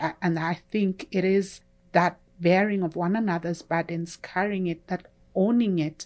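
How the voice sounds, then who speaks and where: Speaking at a fairly slow pace, a woman with a Kenyan accent has a medium pitch and ordinary pitch variation. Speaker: church member sharing testimony. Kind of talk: testimony.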